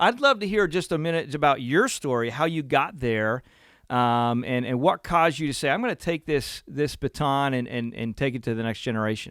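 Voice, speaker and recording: Fairly quick male speech at fairly high pitch with ordinary pitch variation, in a very clean recording with a silent background. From central Pennsylvania, US. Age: 40s. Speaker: podcast host. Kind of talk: interview conversation.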